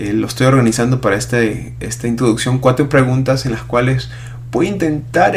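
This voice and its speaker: A man at a medium pitch and a fairly quick pace. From Peru. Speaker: pastor. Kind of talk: podcast monologue. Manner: hesitant, many fillers (eh).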